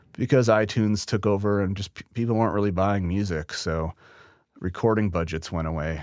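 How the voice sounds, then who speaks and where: This man has an unremarkable speaking voice with an American accent and a fairly low pitch. He talks at a fairly quick pace with ordinary pitch variation. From Wisconsin, US Midwest. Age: 30s. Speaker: mastering engineer. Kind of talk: casual interview. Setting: remote call.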